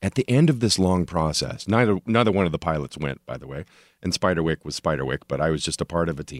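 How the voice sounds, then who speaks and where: Very deep and low, a man's voice with an American accent and vocal fry carries lively intonation in a very clean recording with a silent background and a dry, close sound with no echo. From Oklahoma, Tulsa. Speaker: TV writer and producer. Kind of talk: casual chat.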